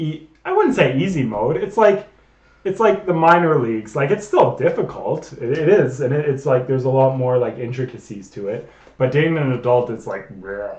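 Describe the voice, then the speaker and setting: A man's animated tone and lively intonation, somewhat breathy, with audible room echo. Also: fairly high pitch for a man, moderate pace. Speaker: streamer. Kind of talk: casual chat. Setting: live stream.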